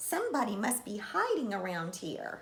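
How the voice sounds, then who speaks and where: A woman does a put-on character voice at a fairly high pitch. She speaks at a moderate pace, with audible echo. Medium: read story.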